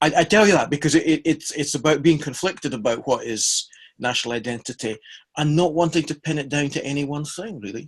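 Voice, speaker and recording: Someone with a Scottish accent talks at a very fast pace, somewhat breathy, with ordinary pitch variation. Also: man, fairly high pitch for a man. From Scotland. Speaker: practical theology scholar, podcast co-host. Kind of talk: casual chat.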